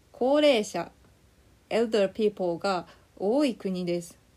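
Her tone dark and mellow, a woman talks at a very slow pace. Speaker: Japanese language teacher. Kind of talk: slow scripted lesson narration with English glosses. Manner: slow and clear.

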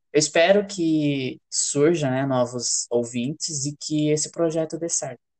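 The delivery is fairly slow with hardly any pauses. The background is quiet. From Brazil, interior of São Paulo state (Fernandópolis). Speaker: podcast co-host, writer. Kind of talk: casual chat.

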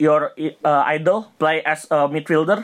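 With ordinary pitch variation, a man speaks in a high voice at a fairly slow pace. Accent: Indonesian. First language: Indonesian. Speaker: podcast co-host. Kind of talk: casual chat.

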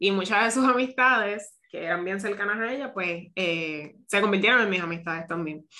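A woman of medium pitch has an unremarkable speaking voice, ordinary pitch variation and a moderate pace. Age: 30s. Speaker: podcast host, seamstress and boutique owner. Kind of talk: casual interview.

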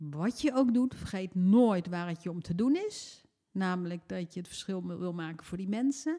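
A woman's dark, mellow tone at medium pitch, with lively intonation and a fairly slow pace. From Netherlands. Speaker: former member of parliament. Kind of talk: casual chat. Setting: at home.

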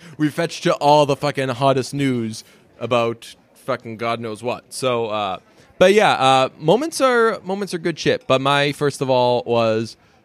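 In a medium pitch, a man talks with lively intonation. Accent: American. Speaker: podcast co-host. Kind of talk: casual chat. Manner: animated.

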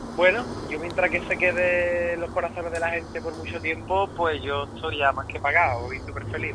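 Amid noticeable background noise and audible room echo, a man talks at a fairly quick pace with a fairly high pitch. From Andalusia, Rota (Cádiz). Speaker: pop singer. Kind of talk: interview.

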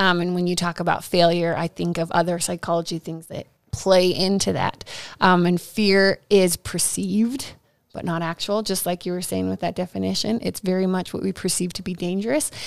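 A woman with a normal speaking voice, fairly low in pitch and fairly even in intonation, at a moderate pace on a very clean recording with a silent background. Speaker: professional counselor. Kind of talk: casual chat.

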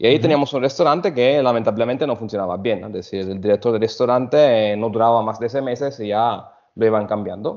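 Speaking at a very fast pace with hardly any pauses, a man holds a medium pitch and ordinary pitch variation. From Italy (Sicily). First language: Italian (speaking Spanish). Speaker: hotel food and beverage director. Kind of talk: interview. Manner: halting.

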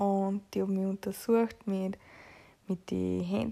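A woman speaks at a fairly slow pace. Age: 20s. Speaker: podcaster with long covid. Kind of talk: personal diary-style monologue.

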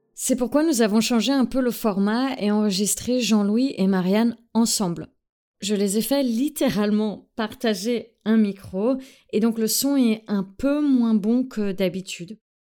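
A woman with an English accent speaks at a very slow pace, her fairly high voice dark and mellow in tone, with very even loudness. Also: ordinary pitch variation, very clean recording, silent background. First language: English (speaking French). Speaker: podcast host. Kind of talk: scripted narration.

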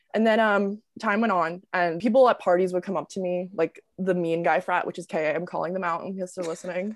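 In an unremarkable speaking voice, a woman talks at a medium pitch and fairly quick pace, with hardly any pauses and fairly even intonation. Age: 20s. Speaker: TikTok creator and college student. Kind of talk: casual interview chat. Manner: casual, filler-heavy.

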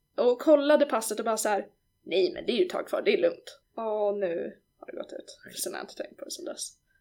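Her loudness swings a lot as this woman talks at a very fast pace. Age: 20s. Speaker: podcast host, rhetoric consultant. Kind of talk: casual chat.

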